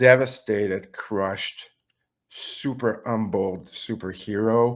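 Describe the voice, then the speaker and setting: This man speaks at a medium pitch with a French Canadian accent. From Quebec. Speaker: webinar participant. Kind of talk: question and answer. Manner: halting.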